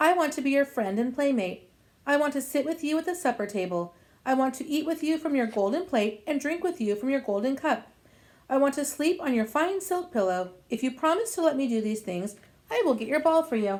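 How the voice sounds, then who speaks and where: A woman puts on a character voice with a high pitch. She moves at a fairly quick pace. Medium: read story.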